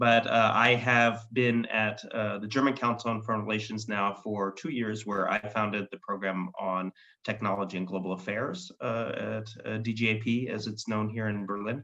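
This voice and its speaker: A man's fairly low voice, an ordinary speaking voice with an American accent, fairly even intonation and hardly any pauses. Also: moderate pace. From United States. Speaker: foreign policy expert. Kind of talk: panel discussion. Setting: web session.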